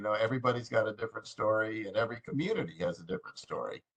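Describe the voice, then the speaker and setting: Speaking at a very fast pace, a man with a medium-pitched, somewhat breathy voice rushes along. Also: hardly any pauses. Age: 60s. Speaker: committee member. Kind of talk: meeting discussion.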